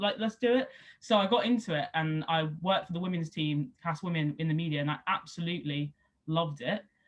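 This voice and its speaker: Her intonation is lively. The woman sounds somewhat breathy. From England, Somerset (Southwest). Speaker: rugby league player and former sports journalist. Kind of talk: interview. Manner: casual, lots of fillers.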